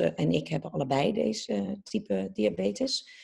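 A woman speaks with a dark, mellow tone. Vocal fry runs through her voice. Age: 30s. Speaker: TV presenter. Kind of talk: casual interview.

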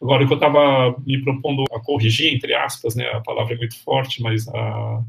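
This man has an ordinary speaking voice at a medium pitch. He talks at a fairly quick pace with fairly even intonation. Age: 50s. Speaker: history professor. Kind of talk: interview.

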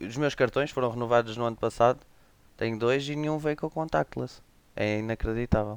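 Talking at a fairly quick pace, a man uses an ordinary speaking voice at medium pitch with ordinary pitch variation. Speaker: tech podcast guest. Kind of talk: casual chat.

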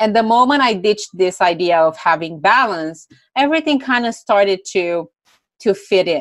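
A woman with a Romanian accent speaks at medium pitch and a moderate pace. Her intonation is lively and her loudness very even. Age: 20s. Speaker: entrepreneur. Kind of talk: interview.

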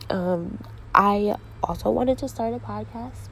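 Over noticeable background noise, a woman with an American accent speaks at a fairly low pitch. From US Northeast, Connecticut (New Haven area). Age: 20s. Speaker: podcast host. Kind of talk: casual monologue.

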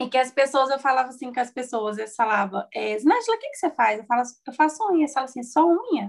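A woman with a high voice talks very fast with hardly any pauses, her intonation lively and her loudness swinging widely. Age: 20s. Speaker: small business owner and course instructor. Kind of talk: interview.

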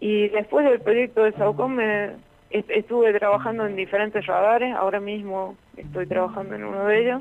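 Moderate pace and medium pitch from a woman, with ordinary pitch variation. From Argentina, La Rioja. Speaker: electronics engineer. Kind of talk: radio interview. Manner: halting.

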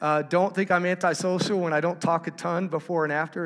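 A man speaks with a Texan accent at a moderate pace and fairly even intonation. Noticeable background noise sits behind him. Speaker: conference speaker. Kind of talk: sermon.

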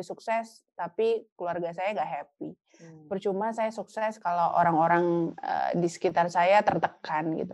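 A woman with an unremarkable speaking voice and medium pitch talks at a moderate pace with hardly any pauses. Her intonation is fairly even while her loudness swings widely. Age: 40s. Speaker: university lecturer. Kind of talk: casual interview. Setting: podcast.

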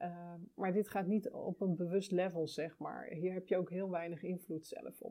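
Speaking at a fairly slow pace, a woman uses a medium pitch. Her intonation stays fairly even. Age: 40s. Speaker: podcast host and birth counselor. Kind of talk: casual monologue. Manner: hesitant, many fillers.

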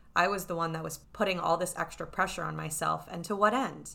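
With an American accent, a woman with fairly low pitch, a bright, sharp tone and vocal fry talks at a moderate pace. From New York City. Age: 20s. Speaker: podcast host and life coach. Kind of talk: solo podcast monologue with ad read.

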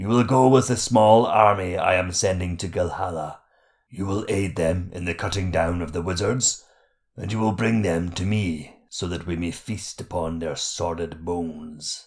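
Booming in a put-on character voice, a man with a very deep, low pitch speaks at a moderate pace in a very clean recording with a silent background. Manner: mocking, sly, commanding, sometimes rhyming.

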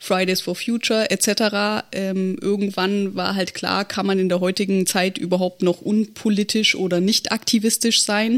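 A woman with a medium pitch speaks at a fairly slow pace in a normal speaking voice. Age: 30s. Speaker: state election candidate, local party board member. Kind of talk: casual podcast discussion.

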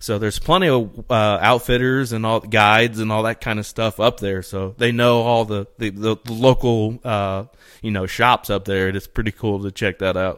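A man speaks with a Midwestern accent at a moderate pace, his medium-pitched voice fairly even in intonation and hardly pausing. The recording is very clean with a silent background. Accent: Midwestern, noticeable outside his region. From East Central Indiana. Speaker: bow hunter and hunting podcaster. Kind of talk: casual chat.

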